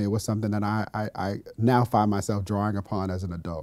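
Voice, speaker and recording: A man with an American accent speaks in a dark, mellow, fairly low voice with monotone, flat intonation. The background is quiet and the sound is dry with no echo. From US West Coast, Los Angeles. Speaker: education policy official. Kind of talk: interview. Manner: halting, many fillers and repetitions. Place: studio. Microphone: lapel.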